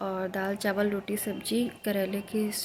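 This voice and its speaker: A woman speaks in a monotone, flat way. Noticeable background noise runs behind her. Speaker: vlogger. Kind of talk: casual vlog talk. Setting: at home.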